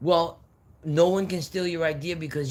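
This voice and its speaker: Somewhat breathy, a man talks in an American accent. His tone is animated. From New York. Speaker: livestreamer. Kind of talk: casual live stream chat.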